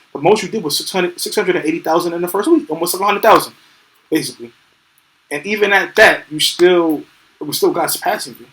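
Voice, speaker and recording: A man with a New York accent talks at a very fast pace in a high pitch, his tone animated, his intonation lively and his loudness swinging widely. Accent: New York City. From New York City. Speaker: podcast co-host. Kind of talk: casual chat.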